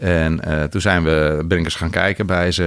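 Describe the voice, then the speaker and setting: Speaking at a moderate pace, a man has a very deep, low voice and fairly even intonation. Noticeable background noise is present. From Netherlands, rural North Holland. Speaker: wholesale business founder. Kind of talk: interview. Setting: studio. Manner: hesitant with many filler sounds.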